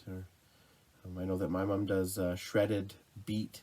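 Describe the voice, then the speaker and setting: A man's very deep, low pitch with a Canadian accent at a moderate pace. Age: 30s. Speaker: outdoors vlogger. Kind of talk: casual vlog monologue. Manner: halting, many fillers.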